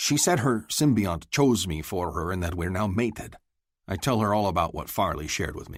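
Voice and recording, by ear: The text is read aloud in a natural voice with lively intonation, and the background is quiet.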